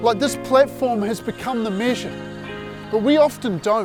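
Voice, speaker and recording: Music plays behind a man who speaks at a moderate pace and high pitch, with ordinary pitch variation. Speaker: evangelist and spoken word performer. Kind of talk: spoken word poetry performance.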